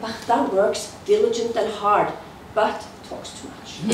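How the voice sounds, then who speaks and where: The voice carries a Norwegian accent. There is audible room echo and noticeable background noise. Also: woman. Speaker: entrepreneur and speaker. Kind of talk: presentation.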